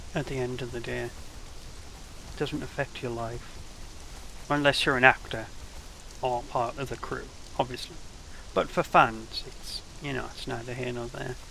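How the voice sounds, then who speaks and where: A man with a British accent speaks with long, frequent pauses. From England. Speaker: game streamer. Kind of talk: casual gaming livestream commentary.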